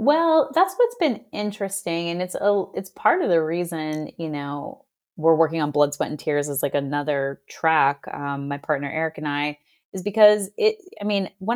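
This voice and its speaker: A woman talks in an ordinary speaking voice, fairly low in pitch, with ordinary pitch variation at a moderate pace. The recording is very clean with a silent background. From Boston. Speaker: business consultant. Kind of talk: interview conversation.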